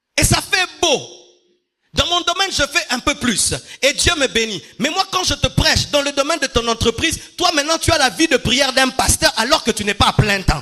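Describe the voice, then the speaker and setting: A man speaks in a raised, projected voice at an extremely high pitch. His pace is moderate and his intonation lively. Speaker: pastor. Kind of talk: sermon. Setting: church. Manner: carefully articulated; repetitive emphatic.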